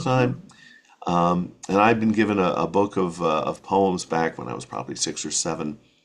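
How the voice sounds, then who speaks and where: A man with an American accent speaks in a very deep, low pitch with vocal fry. His intonation is lively and his pace moderate. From rural New Hampshire, USA. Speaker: children's writer, voice-over artist, former radio broadcaster. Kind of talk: casual interview answer.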